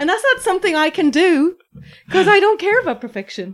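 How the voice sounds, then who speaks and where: A woman with an Irish accent at a fairly quick pace, her pitch swinging very widely. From Ireland, Waterford. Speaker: food blogger and writer. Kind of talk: casual chat.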